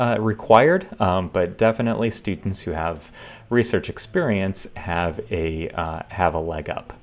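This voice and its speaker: Lively in intonation, a man with a fairly low pitch and an American accent talks at a fairly slow pace. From western New York State. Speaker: engineering professor. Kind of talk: lecture. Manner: halting, many fillers.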